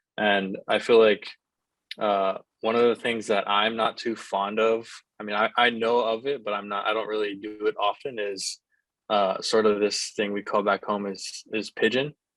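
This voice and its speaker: Dry and close with no echo over a quiet background, a man talks at a moderate pace with a fairly low pitch and monotone, flat intonation. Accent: Hawaiian. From Hawaii. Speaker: college baseball player. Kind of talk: interview.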